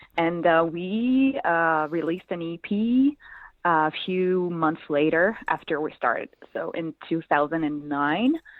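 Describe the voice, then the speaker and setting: A woman with a French accent, a fairly low pitch, lively intonation and a fairly slow pace. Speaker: musician. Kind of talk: interview. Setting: phone call. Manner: hesitant, many fillers.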